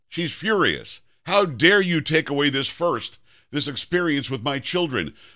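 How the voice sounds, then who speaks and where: A man speaks at a moderate pace with a bright, sharp tone and vocal fry. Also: quiet background. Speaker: syndicated talk radio host. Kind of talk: talk radio commentary. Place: studio.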